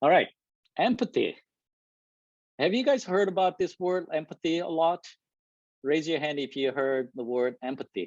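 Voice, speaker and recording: Pausing long and often, a man with a non-native accent talks at a moderate pace in a high pitch with lively intonation, the sound dry and close with no echo. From South Korea. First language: Korean. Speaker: engineering manager giving a talk. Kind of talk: presentation to a live and virtual audience.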